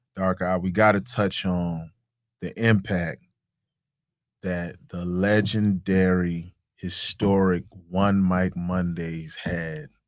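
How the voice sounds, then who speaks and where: A man's very deep, low voice with an American accent, monotone and flat, very slow with long, frequent pauses, in a very clean recording with a silent background. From US South. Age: 30s. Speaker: entrepreneur and artist. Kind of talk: casual chat.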